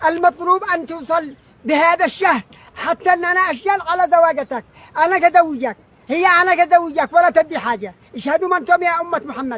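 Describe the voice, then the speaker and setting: A man with a Yemeni accent talks at an extremely high pitch and a moderate pace, with ordinary pitch variation. The sound is dry and close with no echo, over noticeable background noise. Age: 70s. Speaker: father appealing to absent son. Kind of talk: emotional plea. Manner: halting.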